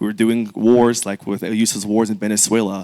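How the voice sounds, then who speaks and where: A man's plain, everyday voice, fairly low in pitch, with fairly even intonation and a fairly quick pace, in a very clean recording with a silent background and a dry, close sound with no echo. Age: 20s. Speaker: congressional candidate. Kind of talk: candidate forum opening statement.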